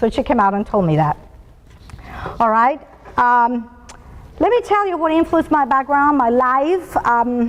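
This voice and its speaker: A woman with a Spanish accent speaks fairly slowly at a high pitch, with very wide pitch swings. Her speech holds long, frequent pauses over noticeable background noise. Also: very even loudness. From Colombia and Venezuela. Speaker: business executive speaker. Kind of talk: motivational talk.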